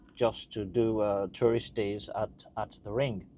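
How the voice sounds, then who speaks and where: A man speaks at a fairly slow pace with a fairly low pitch. Noticeable background noise sits behind him. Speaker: car enthusiast vlogger. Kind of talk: casual vlog talk to camera. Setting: in a car. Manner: hesitant, many filler sounds.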